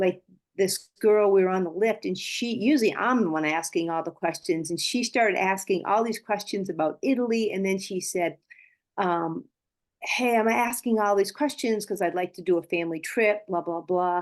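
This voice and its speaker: With a normal speaking voice, a woman talks at medium pitch. Her pace is moderate and her pitch variation is ordinary. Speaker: network marketing team member. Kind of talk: sharing on a team call.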